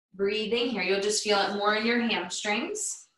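At a moderate pace, a woman speaks over a quiet background with audible room echo. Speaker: yoga instructor. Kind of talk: guided yoga instruction. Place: home room. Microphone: camera far.

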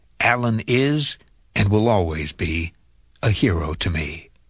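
Against a quiet background, a man speaks with lively intonation at a fairly low pitch. His plain, everyday voice has a dry sound with no echo. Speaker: radio countdown host. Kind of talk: reading a listener letter on air.

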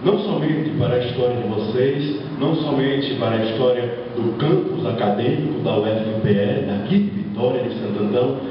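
Amid strong room echo and light background noise, a man talks with hardly any pauses. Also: medium pitch for a man, lively intonation, moderate pace. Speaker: cordel poet. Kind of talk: formal ceremonial speech.

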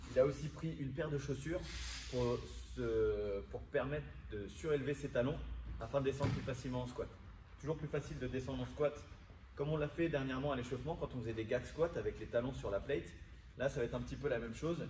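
A man talks at a very fast pace with music in the background. Audible room echo surrounds his voice. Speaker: fitness coach. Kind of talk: tutorial. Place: gym. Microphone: camera far.

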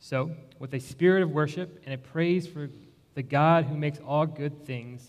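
The speaker is a man going at a moderate pace. His intonation stays fairly even. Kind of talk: formal ceremony address. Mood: warm, solemn. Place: church.

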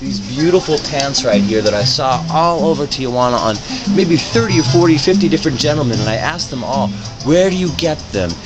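Clear music plays in the background. The speaker talks at a fairly quick pace. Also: man. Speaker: reporter. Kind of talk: casual vlog chat. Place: shop.

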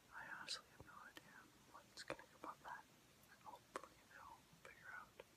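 A man whispers. His pace is fairly quick. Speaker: ASMR creator. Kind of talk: ASMR whispered commentary. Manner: whispered. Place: home room. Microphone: phone near.

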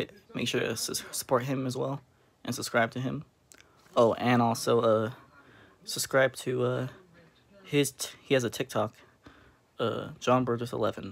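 Speaking at a moderate pace with vocal fry, a man keeps a monotone, flat intonation and leaves long, frequent pauses. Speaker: food vlogger. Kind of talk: casual vlog chat. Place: home room. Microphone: phone near.

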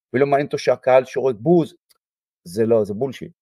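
Very fast speech in a dark, mellow tone with a dry, close sound and no echo. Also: man. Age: 60s. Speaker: football coach. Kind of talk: interview.

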